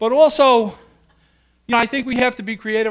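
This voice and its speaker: A man talks at a very fast pace in a New York accent. His pitch varies in an ordinary way. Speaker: union president. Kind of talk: speech. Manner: animated.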